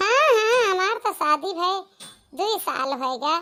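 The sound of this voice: A woman uses a cartoonish character voice, moving at a moderate pace.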